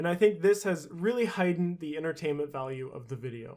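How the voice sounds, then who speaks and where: On a very clean recording with a silent background, a man with a plain, everyday voice talks fairly quickly at a fairly high pitch with ordinary pitch variation. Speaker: gaming YouTuber. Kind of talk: scripted narration.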